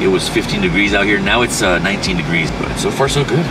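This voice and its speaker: A man talks at a very fast pace in a dry sound with no echo. Loud background noise runs underneath. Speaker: road trip vlogger. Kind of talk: casual vlog chat. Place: car.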